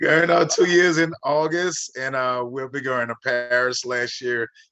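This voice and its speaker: Moving at a moderate pace, the speaker has an unremarkable speaking voice with ordinary pitch variation. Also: man. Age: 50s. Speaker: network marketing member and minister. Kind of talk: casual chat.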